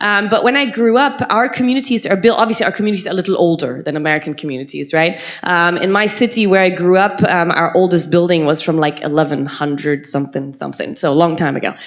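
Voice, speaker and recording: A woman's very fast, animated voice, fairly low in pitch, with lively intonation and a German accent over noticeable background noise. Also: hardly any pauses. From Germany. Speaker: university health lecturer. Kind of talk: conference talk.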